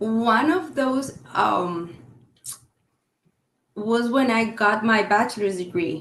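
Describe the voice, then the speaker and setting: A woman with a Colombian accent speaks at a very slow pace, with long, frequent pauses and lively intonation. Audible room echo surrounds her voice. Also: fairly high pitch for a woman, very even loudness. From Colombia, Cali. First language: Spanish. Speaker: real estate agent. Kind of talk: podcast interview. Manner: halting.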